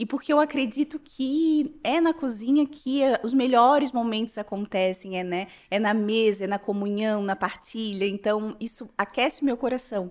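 A woman with an ordinary speaking voice talks at a moderate pace, her fairly high pitch showing ordinary variation. The recording is very clean, with a silent background. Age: 30s. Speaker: social media influencer and insurance broker. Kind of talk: casual interview, personal life story.

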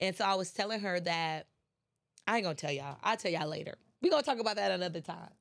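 Her pace is very fast. The woman speaks at medium pitch with lively intonation. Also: very clean recording, silent background. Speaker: podcast host and motivational speaker. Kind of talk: casual motivational monologue. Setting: studio. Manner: animated, enthusiastic.

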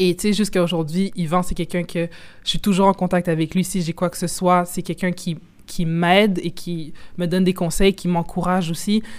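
A woman's fairly low voice in a monotone, flat intonation at a moderate pace. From Quebec. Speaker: football journalist and content creator. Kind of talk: casual interview.

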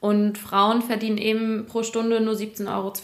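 Over noticeable background noise, a woman speaks fairly slowly at a fairly high pitch. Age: 20s. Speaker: business journalist. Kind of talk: casual interview chat.

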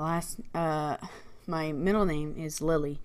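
A woman has an unremarkable speaking voice with ordinary pitch variation. She speaks at a fairly slow pace. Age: 20s. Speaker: podcast co-host. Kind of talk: casual chat.

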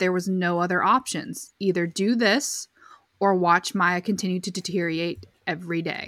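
A woman talks at a moderate pace and medium pitch. Her tone is bright and sharp. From New England. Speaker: podcast co-host. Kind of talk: casual chat recapping a documentary. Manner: hesitant, many fillers.

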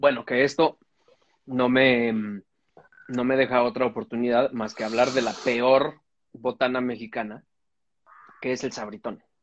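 A man's monotone, flat intonation comes at a fairly slow pace and medium pitch, broken by long, frequent pauses. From Mexico City, Cuajimalpa. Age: 40s. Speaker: comedian podcast co-host. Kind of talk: casual chat.

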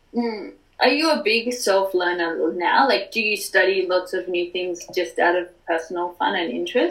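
Hardly pausing, a woman speaks at a medium pitch with lively intonation. Noticeable noise fills the background. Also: moderate pace. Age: 20s. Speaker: podcast host. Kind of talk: interview.

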